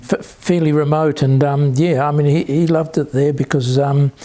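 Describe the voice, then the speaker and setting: A man with a New Zealand accent speaks at a moderate pace in a fairly high pitch, his intonation monotone and flat. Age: 70s. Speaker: interviewee, son of Polish immigrants. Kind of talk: oral history interview. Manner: halting, many fillers and repetitions.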